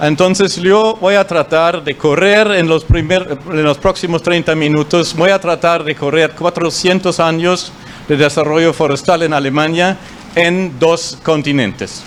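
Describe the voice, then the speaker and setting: High-pitched man with a German accent, fairly slow pace, very even loudness and fairly even intonation, amid noticeable background noise. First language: German (speaking Spanish). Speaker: forestry official. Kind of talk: conference talk. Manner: halting, many fillers.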